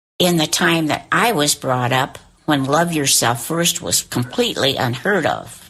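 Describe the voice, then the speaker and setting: Against noticeable background noise, a woman with a fairly low voice speaks at a fairly slow pace. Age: 80s+. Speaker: elderly interviewee. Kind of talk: interview testimony. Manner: partly reading aloud from notes.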